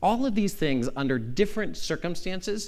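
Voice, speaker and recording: A man talks at a fairly quick pace with a General American accent. The recording has audible room echo. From Arizona. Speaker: law professor. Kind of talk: conference lecture. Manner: fast.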